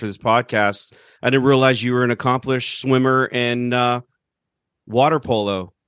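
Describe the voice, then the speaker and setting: Against a quiet background, in a dry, close sound with no echo, a man uses a plain, everyday voice at medium pitch with fairly even intonation. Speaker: podcast host. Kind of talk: casual chat.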